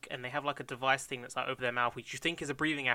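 The speaker uses a natural reading voice. That is the only listed trait.

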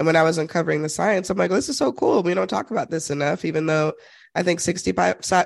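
A woman's very deep, low voice with vocal fry and ordinary pitch variation, over a quiet background. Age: 30s. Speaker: narrative consultant and author. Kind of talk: interview.

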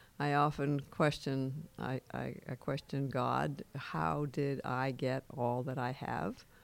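A woman with an American accent speaks at a very slow pace, her very deep, low pitch showing ordinary variation and vocal fry. There are hardly any pauses, and the recording is very clean with a silent background. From Western Massachusetts. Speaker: peace activist. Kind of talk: interview.

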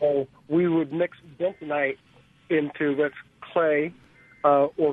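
The intonation stays fairly even. The speaker has an American accent. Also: man. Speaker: caller, former drill operator. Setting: phone call.

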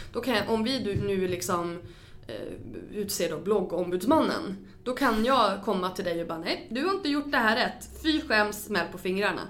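A woman's medium-pitched voice with lively intonation, a moderate pace and audible room echo. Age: 30s. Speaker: podcast host. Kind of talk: interview; podcast intro.

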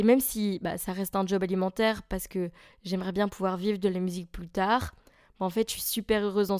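The pace is fairly quick. A woman delivers it with monotone, flat intonation. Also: very clean recording, silent background. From Belgium, near Charleroi. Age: 20s. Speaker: podcaster and musician. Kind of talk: casual monologue.

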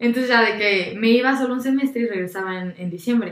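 With ordinary pitch variation, the woman delivers her words in an animated tone. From Mexico, San Luis Potosí. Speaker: architecture student, former volunteer abroad. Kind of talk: casual chat.

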